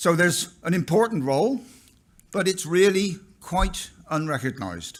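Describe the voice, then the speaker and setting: With a West Country accent, a man talks at a moderate pace with high pitch and lively intonation. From England, Somerset (West Country). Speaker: professor. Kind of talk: keynote lecture. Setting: conference stage with audience.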